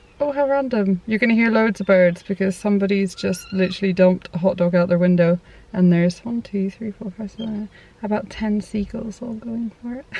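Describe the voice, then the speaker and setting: A woman's fairly high voice at a fairly quick pace, over noticeable background noise. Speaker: parenting vlogger. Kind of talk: casual chat. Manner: fast.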